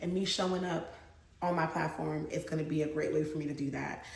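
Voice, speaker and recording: A woman's animated, fairly low voice with audible room echo and noticeable background noise. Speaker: lifestyle vlogger and mom. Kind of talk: casual vlog talk to camera.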